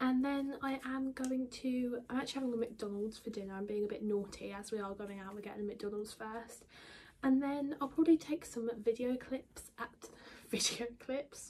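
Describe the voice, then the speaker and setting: A quiet, high-pitched woman's voice with an English accent. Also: ordinary pitch variation, moderate pace. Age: 20s. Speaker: beauty and lifestyle vlogger. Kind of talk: casual vlog talk.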